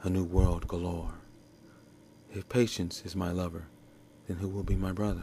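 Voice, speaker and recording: Somewhat breathy, a man speaks in a flat monotone at a very deep, low pitch. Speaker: poet. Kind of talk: poetry reading.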